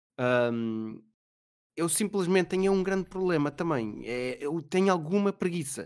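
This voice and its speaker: Lively intonation runs through this man's high voice as he speaks at a fairly slow pace. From Portugal, Mem Martins (Sintra area). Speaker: Twitch streamer. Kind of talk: casual chat.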